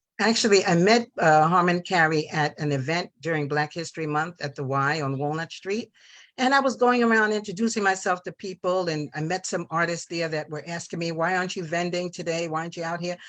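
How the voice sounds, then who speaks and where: With an American accent and a normal speaking voice, a woman talks at a fairly quick pace and a fairly low pitch, with ordinary pitch variation and a quiet background. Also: hardly any pauses. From New York. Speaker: visual artist and radio host. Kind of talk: interview. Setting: live TV talk show studio.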